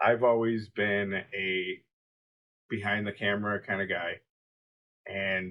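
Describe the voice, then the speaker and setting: A man speaks at a fairly slow pace. His fairly low pitch stays in a monotone, flat intonation. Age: 30s. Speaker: podcast co-host. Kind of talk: casual vlog monologue. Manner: halting, with fillers.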